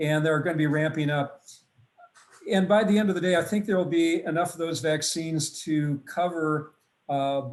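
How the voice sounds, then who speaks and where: A man with a plain, everyday voice speaks at a moderate pace. His fairly high voice keeps a fairly even intonation. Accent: American. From US Midwest, Wisconsin. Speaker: family physician, vaccine expert. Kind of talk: webinar lecture; Q&A answers. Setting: online webinar.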